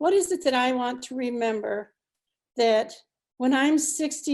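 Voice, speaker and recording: In an American accent, a woman speaks at a fairly slow pace on a very clean recording with a silent background. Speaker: retired nurse, ceremony speaker. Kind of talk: commencement speech. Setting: virtual ceremony. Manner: halting.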